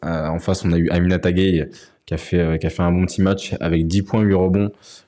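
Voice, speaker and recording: On a very clean recording with a silent background, a man with a very deep, low pitch and a dark, mellow tone talks at a fairly slow pace. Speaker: talk show host. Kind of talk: casual chat. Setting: livestream.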